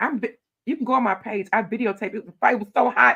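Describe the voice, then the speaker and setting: Loud and animated, a woman talks at a very fast pace with a fairly high pitch, ordinary pitch variation and a Southern US accent. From Louisiana. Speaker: county commissioner. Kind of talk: interview.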